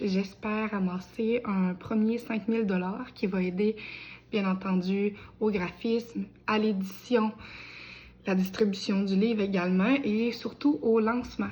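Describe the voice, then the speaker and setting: A woman talks at a very slow pace. Her medium-pitched voice is somewhat breathy. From Quebec, Bellechasse. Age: 20s. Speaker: aspiring novelist. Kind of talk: crowdfunding appeal video. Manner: casual with many hesitations.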